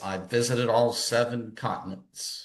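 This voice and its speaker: Audible room echo surrounds a man with an American accent and a bright, sharp tone. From US South, Gaffney, South Carolina. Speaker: psychiatrist. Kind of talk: panel discussion.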